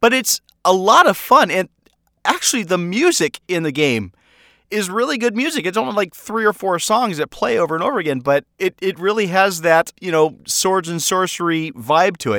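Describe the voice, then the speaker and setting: Projecting a raised voice with a bright, sharp tone, a man speaks at a high pitch and moderate pace with lively intonation, the sound dry and close with no echo. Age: 40s. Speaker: podcast host and audio drama creator. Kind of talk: casual solo update monologue. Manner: casual, with filler words and repetitions.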